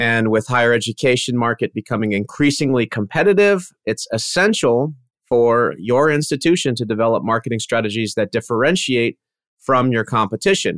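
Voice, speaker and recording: The voice is an ordinary speaking voice with lively intonation at a moderate pace. The very clean recording has a silent background and a dry, close sound with no echo. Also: man, medium pitch for a man. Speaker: podcast host and agency CEO. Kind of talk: roundtable discussion.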